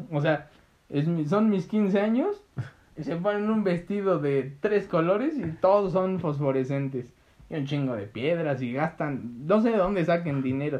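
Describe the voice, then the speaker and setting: In a Mexican accent, a man speaks at high pitch and a fairly slow pace. His intonation is lively. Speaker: podcast co-host. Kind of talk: casual chat.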